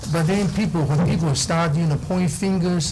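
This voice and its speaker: Noticeable background noise and audible room echo around a man's fairly high voice. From Taiwan. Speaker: school board applicant. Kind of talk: public meeting statement. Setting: city council meeting. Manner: halting, many fillers.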